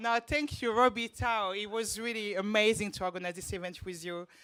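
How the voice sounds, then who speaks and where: With a French accent and a bright, sharp tone, a woman speaks at a moderate pace. The recording is very clean, with a silent background. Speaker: events manager. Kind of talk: short thank-you speech.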